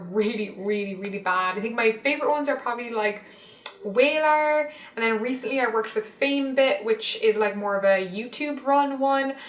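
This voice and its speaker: A woman with an Irish accent speaks at a fairly high pitch with ordinary pitch variation. Noticeable background noise runs underneath. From Ireland. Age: 20s. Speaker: fashion and lifestyle blogger. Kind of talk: casual talk to camera.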